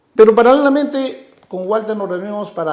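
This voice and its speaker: The speech moves at a moderate pace, with audible echo from the room. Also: man. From Peru, Ayacucho highlands (Coracora). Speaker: guitarist and singer-songwriter. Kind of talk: interview.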